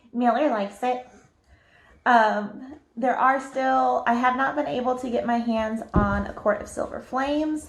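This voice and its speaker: The speaker has a Southern US accent and a fairly slow pace. The intonation is fairly even. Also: woman, high pitch for a woman. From US South. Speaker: book youtuber. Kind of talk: casual chat.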